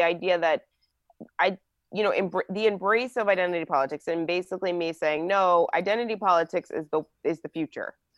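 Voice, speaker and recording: A woman with an American accent speaks at a fairly quick pace in a normal speaking voice, her pitch medium and its variation ordinary. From New Jersey. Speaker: political commentator. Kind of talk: casual chat.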